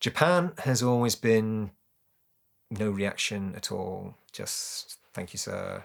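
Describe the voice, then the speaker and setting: In a British accent, the speaker's intonation stays fairly even on a very clean recording with a silent background. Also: man. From UK. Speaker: naturalized citizen. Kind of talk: interview.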